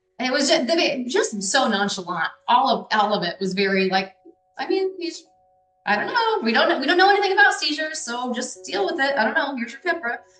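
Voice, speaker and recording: With music in the background, a speaker with an American accent talks at a fairly quick pace. The pitch swings very widely. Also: woman, high pitch for a woman. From US Midwest, Des Moines, Iowa. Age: 30s. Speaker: parent of a child with epilepsy. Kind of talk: interview testimony. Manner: animated.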